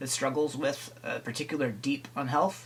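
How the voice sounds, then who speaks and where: Noticeable noise runs in the background as the talking proceeds at a medium rate. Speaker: staff trainer on personality types. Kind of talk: recorded training talk. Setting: recorded video.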